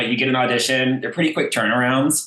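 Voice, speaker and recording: With a slight Texas accent, a man talks at a medium pitch. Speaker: voice actor. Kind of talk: casual interview.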